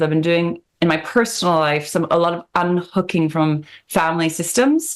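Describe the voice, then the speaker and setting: A woman with a fairly low pitch talks at a moderate pace, her intonation fairly even and hardly any pauses in her speech. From Canada, Vancouver. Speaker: spiritual coach. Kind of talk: podcast interview.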